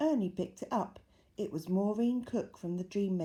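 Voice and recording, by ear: The words are read aloud in a natural voice, the pitch varying in an ordinary way.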